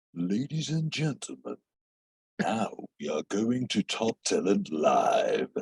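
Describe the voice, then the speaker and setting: A man speaks at a medium pitch. He uses a put-on character voice. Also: fairly slow pace. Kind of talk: polished broadcast announcer.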